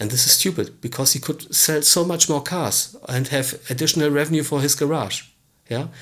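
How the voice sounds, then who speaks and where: A man with a non-native accent talks at a fairly quick pace, his fairly high pitch showing ordinary variation. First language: not English. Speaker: business coach / tutorial presenter. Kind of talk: tutorial. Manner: halting, with fillers.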